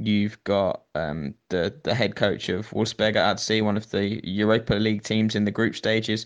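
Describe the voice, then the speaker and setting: A man with a British accent, fairly low in pitch, at a moderate pace, with fairly even intonation. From Britain. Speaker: football journalist. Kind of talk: casual chat.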